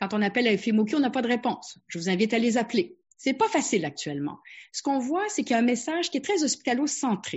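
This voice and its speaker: Her pitch high with very wide swings, a woman rattles along at a very fast pace. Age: 60s. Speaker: family physician. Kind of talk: webinar presentation.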